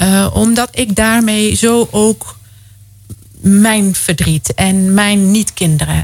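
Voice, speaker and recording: A woman speaks at a very slow pace with very even loudness, ordinary pitch variation and a somewhat breathy quality. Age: 40s. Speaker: guest sharing experience of involuntary childlessness. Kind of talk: radio interview. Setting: radio studio.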